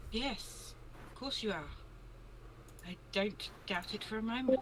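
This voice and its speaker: A female-sounding voice, fairly high in pitch, performs a put-on character voice at a fairly slow pace. Clear background noise sits behind it. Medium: actual play. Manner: polite, reserved.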